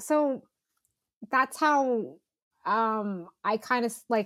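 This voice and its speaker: In a West Coast American accent, a woman speaks at a high pitch with lively intonation. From Northern California. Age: 30s. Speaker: outdoor and cycling photographer. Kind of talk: casual interview conversation. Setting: video call. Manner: casual, many fillers like um and like.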